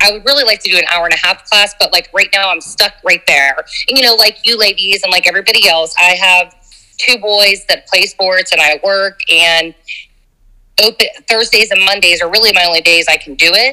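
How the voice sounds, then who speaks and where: A woman talks loudly at a fairly quick pace, her tone bright and sharp, in a dry, close sound with no echo. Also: medium pitch for a woman, ordinary pitch variation. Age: 40s. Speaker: dance instructor. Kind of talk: casual interview. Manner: animated.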